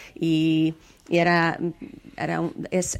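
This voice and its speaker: A woman speaks in a fairly low voice. Her intonation stays fairly even. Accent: Hungarian. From Hungary. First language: Hungarian (speaking Spanish). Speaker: storyteller and folklore researcher. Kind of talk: interview. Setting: video call. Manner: halting.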